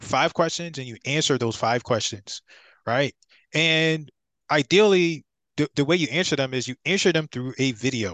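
In an unremarkable speaking voice, a man talks at a moderate pace and a fairly high pitch with ordinary pitch variation, the sound dry and close with no echo. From Philadelphia, Pennsylvania. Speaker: real estate investor and author. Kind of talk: podcast interview.

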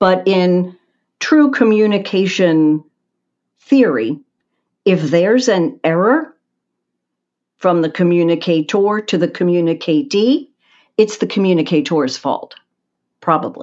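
With an American accent, a woman speaks at a medium pitch and a fairly slow pace, her pitch swinging very widely between long, frequent pauses. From Philadelphia, US. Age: 60s. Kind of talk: interview conversation. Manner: over-enunciating, precise diction.

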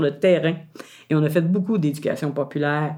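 Her tone dark and mellow, a woman talks at a very fast pace. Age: 60s. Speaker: retired community activist and storyteller. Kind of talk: interview testimony.

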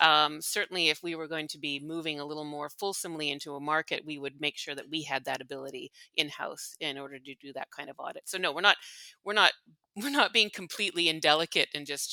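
Very fast and in a Montreal accent, a woman speaks with a very deep, low pitch, a bright, sharp tone, fairly even intonation and big swings in loudness, the sound dry and close with no echo. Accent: Montreal anglophone Canadian English. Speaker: company executive. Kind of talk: interview. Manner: hesitant with many fillers.

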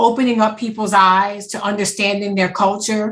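Somewhat breathy, a woman speaks at a moderate pace and medium pitch. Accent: Louisiana. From Louisiana, Wallace. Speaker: podcast co-host, museum marketing director. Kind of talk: interview.

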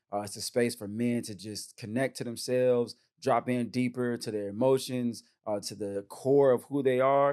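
At a moderate pace, a man talks in an upbeat way, his medium-pitched voice dark and mellow in tone. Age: 30s. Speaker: podcast host and men's retreat facilitator. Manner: casual, slangy and upbeat.

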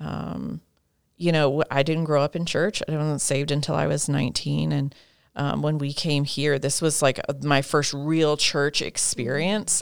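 On a very clean recording with a silent background, a woman speaks in a very deep, low voice with vocal fry. Her pace is fairly slow and her intonation fairly even. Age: 30s. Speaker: women's ministry leader and writer. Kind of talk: casual interview.

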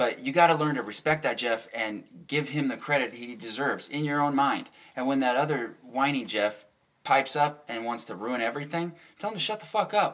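Lively intonation from a man with an unremarkable speaking voice. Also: fairly high pitch for a man. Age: 30s. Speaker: podcast host. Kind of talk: casual chat. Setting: home studio.

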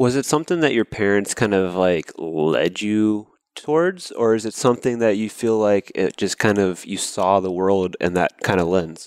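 Someone with an American accent talks in a plain, everyday voice at a moderate pace with hardly any pauses and ordinary pitch variation, the sound dry and close with no echo. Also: man, fairly low pitch for a man. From US South, Georgia. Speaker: podcast host. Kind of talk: interview; scripted intro.

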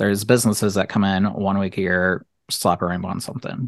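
A man with an American accent speaks at a fairly quick pace and a fairly low pitch. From Ohio, US Midwest. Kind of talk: casual chat. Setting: video call.

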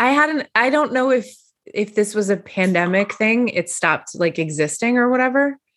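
A woman with a normal speaking voice talks at a moderate pace and fairly high pitch, her intonation lively and her loudness very even. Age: 40s. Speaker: podcast host. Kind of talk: casual chat.

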